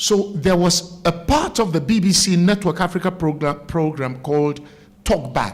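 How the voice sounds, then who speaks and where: A man speaks in a Ghanaian accent with a high voice. His loudness stays very even throughout. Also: ordinary pitch variation, moderate pace. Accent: Ghanaian Ewe village accent, still noticeable. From Ghana, Volta Region (Keta area). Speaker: broadcaster. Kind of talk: interview. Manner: animated.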